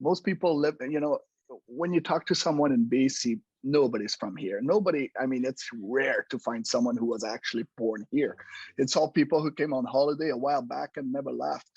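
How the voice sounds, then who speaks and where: A man's voice with ordinary pitch variation, dry and close with no echo. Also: quiet background. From Quebec, French Canada. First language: French. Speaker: home inspector, business owner. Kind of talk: casual interview. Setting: podcast recording.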